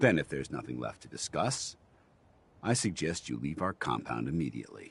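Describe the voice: Putting on a character voice, a man speaks at a moderate pace with an extremely low pitch, vocal fry, a slightly husky edge and big pitch swings.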